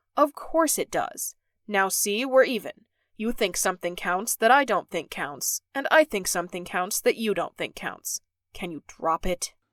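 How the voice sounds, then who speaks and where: A put-on character voice, female-sounding and fairly high in pitch for a woman, carries a weary tone. The pace is moderate, and the recording is very clean with a silent background. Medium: audio drama. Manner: terse, weary.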